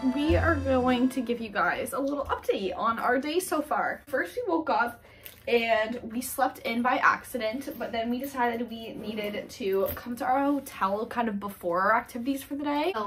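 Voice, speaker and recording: Over music in the background, a woman speaks at a high pitch with hardly any pauses. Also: ordinary pitch variation, moderate pace. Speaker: travel vlogger. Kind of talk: casual vlog chat. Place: home room. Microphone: camera far.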